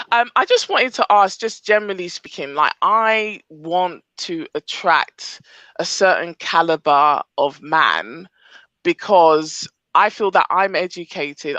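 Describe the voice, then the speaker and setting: A woman with a strong British accent speaks at a fairly slow pace in a fairly low voice, her tone bright and sharp, her pitch varying in an ordinary way, the sound dry and close with no echo against a quiet background. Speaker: audience member asking a question. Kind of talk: live group call Q&A.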